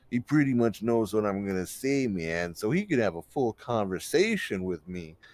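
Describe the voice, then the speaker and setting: Drawling at a moderate pace, a man puts on a character voice with lively intonation. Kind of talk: stoner-style surfer drawl. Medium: actual play. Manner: laid-back, drawling, ends sentences with "man".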